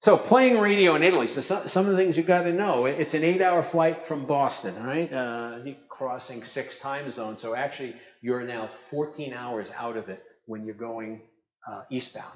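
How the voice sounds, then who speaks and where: A man with a Brooklyn accent speaks at a moderate pace in a fairly high voice, with audible room echo. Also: big swings in loudness. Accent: New York (Brooklyn). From New York, Brooklyn. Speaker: ham radio operator and presenter. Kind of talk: conference talk. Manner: animated.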